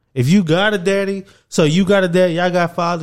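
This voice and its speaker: A man talks at a fairly quick pace. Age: 20s. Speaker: podcast host. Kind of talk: casual chat.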